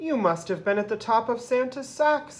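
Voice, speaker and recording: A woman uses a put-on character voice, pitched high. She speaks at a moderate pace. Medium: read story.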